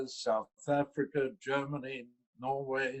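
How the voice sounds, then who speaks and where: Fairly high-pitched man with a London accent. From London, England. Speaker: investor relations executive. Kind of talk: interview.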